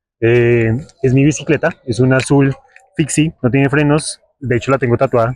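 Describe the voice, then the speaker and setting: The sound is dry and close with no echo as a man with an ordinary speaking voice talks at medium pitch with fairly even intonation. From Colombia, Bogotá. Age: 20s. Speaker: travel and local history vlogger. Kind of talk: vlog presentation to camera. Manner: casual, conversational.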